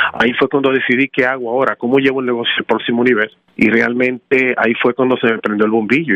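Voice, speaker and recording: At a very fast pace, a man talks with fairly even intonation and a medium pitch. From Dominican Republic, raised in Washington Heights, New York. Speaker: tax franchise founder. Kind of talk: interview.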